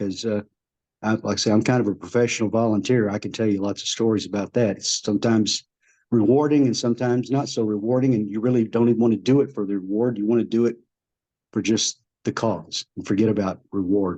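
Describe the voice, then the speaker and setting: This man talks at a fairly quick clip in a medium pitch, his dark, mellow tone and fairly even intonation set against a quiet background. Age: 70s. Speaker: retired participant in a spiritual discussion group. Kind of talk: Q&A comment in an online group talk. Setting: video call. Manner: halting, many fillers and repetitions.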